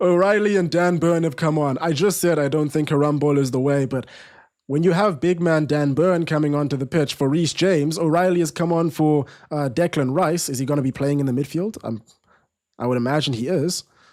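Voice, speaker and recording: In a South African accent, a man talks at a fairly quick pace with a fairly high pitch and ordinary pitch variation. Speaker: football watch-along streamer. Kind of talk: live watch-along commentary. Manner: casual, conversational; quick reactions to live play.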